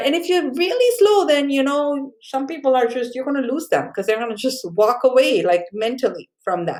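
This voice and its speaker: Her pitch high and swinging very widely, a woman with a South Asian accent speaks at a moderate pace. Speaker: college communication instructor. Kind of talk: recorded lecture. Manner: casual, many fillers.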